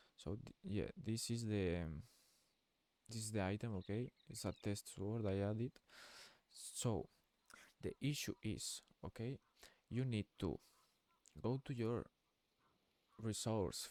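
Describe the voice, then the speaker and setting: Speaking with a non-native accent, a man uses a fairly low pitch and a dark, mellow tone, ordinary pitch variation, a fairly slow pace and long, frequent pauses, recorded dry and close with no echo. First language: Spanish. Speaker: gaming youtuber. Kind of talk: tutorial. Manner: halting.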